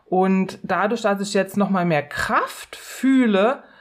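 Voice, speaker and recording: Very slow in pace, a woman speaks at a fairly high pitch with fairly even intonation. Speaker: podcast co-host with long covid. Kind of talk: casual chat. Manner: calm, quiet.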